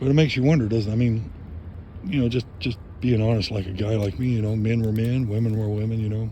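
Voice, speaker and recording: A man talks at a very fast pace with fairly even intonation. His tone is dark, mellow and somewhat breathy. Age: 60s. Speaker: vlogger. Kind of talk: casual monologue. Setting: outdoors by a fire. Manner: reflective, conversational.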